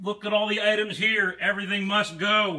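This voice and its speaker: A man's raised, projected voice, high-pitched and monotone with flat intonation, at a fairly slow pace against a quiet background. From Pennsylvania, USA. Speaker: auctioneer. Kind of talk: auction promotional announcement to camera. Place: shop. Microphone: phone near.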